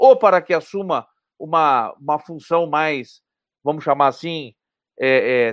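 The man's voice comes through dry and close with no echo, over a quiet background. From southern Brazil, Porto Alegre. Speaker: economist. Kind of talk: interview.

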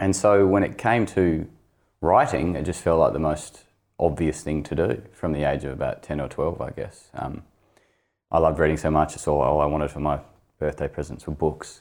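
On a very clean recording with a silent background, a man speaks with an Australian accent at a moderate pace. His very deep, low voice shows vocal fry and ordinary pitch variation. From northern Tasmania, Launceston. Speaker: novelist. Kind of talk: interview.

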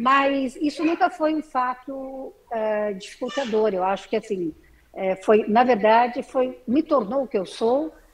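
Very wide pitch swings mark this woman's high voice as she speaks at a very slow pace. Noticeable background noise runs underneath. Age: 60s. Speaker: artisan. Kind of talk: interview.

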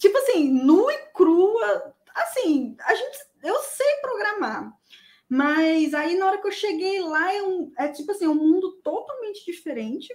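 Pitch leaps up and down dramatically as a woman speaks extremely slowly. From Espírito Santo, Brazil. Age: 30s. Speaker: junior software tester, former student. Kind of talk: live interview, personal story. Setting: online live stream.

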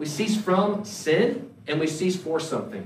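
Noticeable background noise surrounds a man with a Southern US accent. He speaks at a fairly slow pace with lively intonation. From North Carolina. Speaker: pastor. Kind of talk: sermon. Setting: church.

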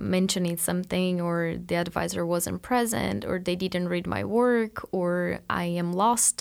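A woman with a Portuguese accent and fairly low pitch talks at a fairly slow pace with lively intonation, in a very clean recording with a silent background. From Brazil. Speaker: PhD student. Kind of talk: interview.

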